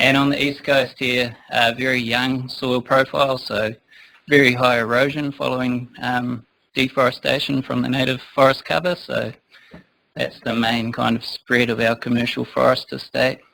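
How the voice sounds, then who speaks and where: Speaking in a New Zealand accent, a man keeps a moderate pace with a bright, sharp tone, medium pitch and monotone, flat intonation. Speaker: forestry consultant. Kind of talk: conference talk. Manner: hesitant, many fillers. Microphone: too quiet for the back of the room.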